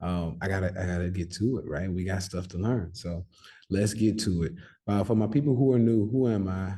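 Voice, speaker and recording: Over a quiet background, a man talks at a fairly quick pace in a very deep, low pitch with a dark, mellow, somewhat breathy tone and ordinary pitch variation. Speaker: stock and crypto trader, trading educator. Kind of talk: casual vlog-style talk to viewers. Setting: on the road, near sleeping son's room. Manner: soft-spoken.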